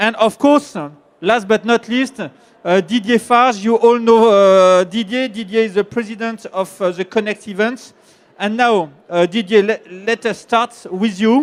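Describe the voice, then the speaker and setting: The speaker has a French accent. The intonation stays fairly even. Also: man, high pitch for a man, fairly slow pace. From France. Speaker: panel moderator. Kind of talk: panel introduction. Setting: conference stage with audience. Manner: hesitant, many fillers.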